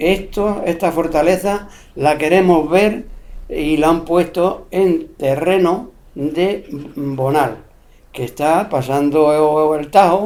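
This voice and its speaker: A man with a high voice speaks very slowly, his pitch moving in an ordinary way. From Spain, Extremadura (Cáceres). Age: 70s. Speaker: elderly local interviewee recalling rural life. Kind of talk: oral history interview.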